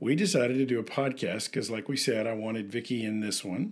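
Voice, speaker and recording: A man talks at a fairly quick pace with an American accent. His intonation is lively, in a normal speaking voice. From US South, Memphis, Tennessee. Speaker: podcast co-host, missions counselor. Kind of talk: casual chat. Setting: home office.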